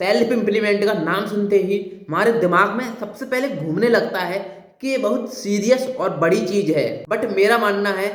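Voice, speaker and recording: With audible room echo and noticeable background noise, a man speaks at a high pitch with ordinary pitch variation. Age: young. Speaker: motivational speaker. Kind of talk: motivational talk.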